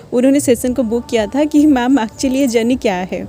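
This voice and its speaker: A woman speaks at a moderate pace in a high voice. Noticeable background noise is present. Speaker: spiritual guidance reader. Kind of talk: casual talk to viewers. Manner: hesitant, many filler sounds.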